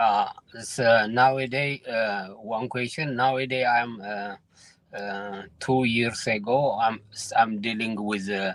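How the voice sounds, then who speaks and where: The man talks at a very slow pace. His pitch is medium, and his intonation is fairly even. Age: 50s. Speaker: caller. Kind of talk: phone-in question. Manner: halting.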